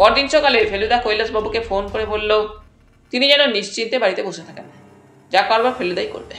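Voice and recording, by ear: Pitch shifts in an ordinary way as someone reads aloud in a natural voice.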